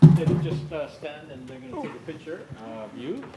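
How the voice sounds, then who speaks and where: This man speaks at a fairly quick pace with a Canadian accent and ordinary pitch variation. Noticeable background noise runs behind him. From Canada. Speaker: event host. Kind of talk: event hosting.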